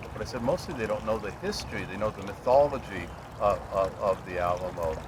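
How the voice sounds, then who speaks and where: Over noticeable background noise, a man speaks at a fairly quick pace with a fairly low pitch and ordinary pitch variation. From California. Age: 60s. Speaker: historian interviewer. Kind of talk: interview. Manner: halting.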